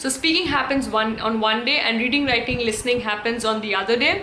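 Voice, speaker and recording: Over noticeable background noise and audible room echo, a woman speaks in a high pitch with fairly even intonation. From India. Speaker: English teacher and YouTuber. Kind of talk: tutorial. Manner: halting, many fillers.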